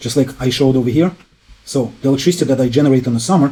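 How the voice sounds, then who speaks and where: This man's voice is dark and mellow, somewhat breathy, and medium in pitch. His very fast delivery keeps a fairly even intonation. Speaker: YouTube energy and home improvement presenter. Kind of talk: explainer video monologue. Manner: casual, many fillers.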